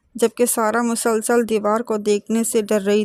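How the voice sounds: A reading voice that sounds natural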